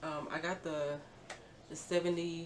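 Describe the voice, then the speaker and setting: A quiet woman with a very deep, low voice speaks in a monotone, flat way, amid noticeable background noise and audible room echo. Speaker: beauty vlogger. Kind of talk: tutorial. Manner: casual, filler-heavy; quiet, low volume.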